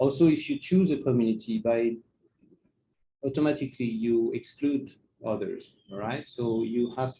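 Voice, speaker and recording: A man at a medium pitch, dark and mellow in tone, with a non-native accent. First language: not English. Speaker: NGO project worker giving a talk. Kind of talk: presentation. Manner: halting, many fillers.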